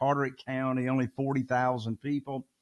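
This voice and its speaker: A man with a Southern US accent talks at a moderate pace in a fairly high voice. The sound is dry and close, with no echo. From Eastern North Carolina. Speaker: real estate investor. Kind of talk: podcast interview.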